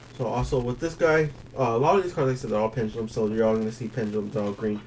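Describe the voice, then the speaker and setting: Noticeable background noise is present. A man speaks at medium pitch and a very fast pace. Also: ordinary pitch variation. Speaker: card game tournament player. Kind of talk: deck profile explanation. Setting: at a game store. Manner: halting, many fillers.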